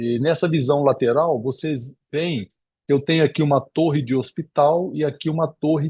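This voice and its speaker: Somewhat breathy, a man speaks at a fairly high pitch with ordinary pitch variation. His pace is moderate. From Espírito Santo, Brazil. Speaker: cardiologist and lecturer. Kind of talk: lecture. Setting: video call. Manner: halting with repetitions.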